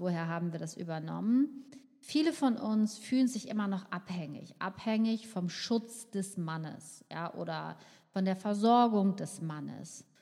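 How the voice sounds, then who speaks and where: At a fairly slow pace, a woman of medium pitch speaks with lively intonation and a dark, mellow tone. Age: 50s. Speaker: podcast host, nutritionist. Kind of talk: solo podcast monologue.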